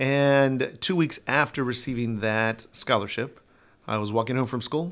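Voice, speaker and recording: In a normal speaking voice, a man with an American accent talks at a fairly slow pace with ordinary pitch variation, on a very clean recording with a silent background. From Denver, Colorado. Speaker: dance instructor. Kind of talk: casual interview.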